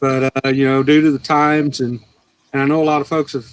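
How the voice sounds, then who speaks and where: A fairly high-pitched male voice with an American accent, monotone and flat, recorded dry and close with no echo. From US South, Cleveland, Tennessee. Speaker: angler, Navy veteran. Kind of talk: casual chat on livestream. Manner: halting, many fillers.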